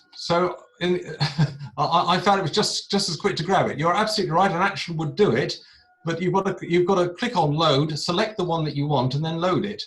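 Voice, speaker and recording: Speech moves at a fairly quick pace with ordinary pitch variation. Noticeable background noise is present. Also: man, high pitch for a man. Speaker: astrophotography presenter. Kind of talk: tutorial. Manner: fast.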